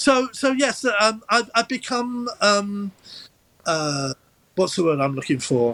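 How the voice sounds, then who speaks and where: Very slow delivery with very wide pitch swings, in a slight Cockney accent. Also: man, high pitch for a man. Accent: London English, slight Cockney. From London East End. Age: 70s. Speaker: entertainer. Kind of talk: casual chat. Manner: halting with false starts. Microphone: poor quality remote feed.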